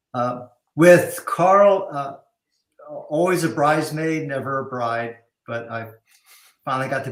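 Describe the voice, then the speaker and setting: Fairly high in pitch, a man speaks at a fairly slow pace with long, frequent pauses. His pitch variation is ordinary, and his loudness swings widely. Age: 60s. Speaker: cinematographer. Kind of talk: casual chat.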